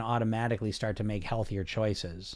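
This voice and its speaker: A man speaks in an unremarkable speaking voice with an American accent, at a fairly quick pace and with ordinary pitch variation. The recording is very clean, with a silent background. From US. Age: 40s. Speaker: weight loss coach and podcast host. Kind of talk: live-streamed chat with viewer comments.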